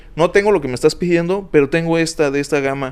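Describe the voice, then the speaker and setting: A man's plain, everyday voice, fairly high-pitched, with ordinary pitch variation. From Mexico, Uruapan, Michoacán. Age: 20s. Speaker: club DJ. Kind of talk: casual chat.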